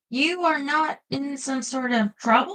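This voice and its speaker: Using a put-on character voice, a woman speaks fairly slowly at a high pitch with lively intonation, the sound dry and close with no echo. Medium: read story. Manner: formal, polite.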